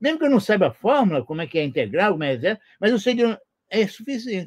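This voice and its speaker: A man talks at a very fast pace with a high pitch. His voice swings very widely up and down. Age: 70s. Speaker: retired physics professor. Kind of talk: interview. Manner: halting, many repetitions.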